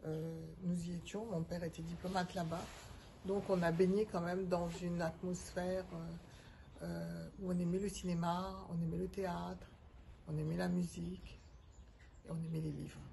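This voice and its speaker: A woman talks at a fairly slow pace. There is audible room echo. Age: 70s. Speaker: retired organisational development consultant. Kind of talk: interview. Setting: outdoors on a terrace. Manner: hesitant, many filler sounds.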